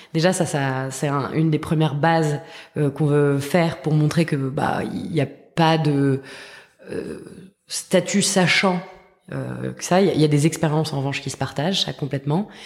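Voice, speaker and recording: A woman speaks at a fairly slow pace with long, frequent pauses and noticeable background noise. Her pitch is very deep and low, her intonation fairly even. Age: 30s. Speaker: education startup co-founder. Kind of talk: interview. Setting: at her school's premises.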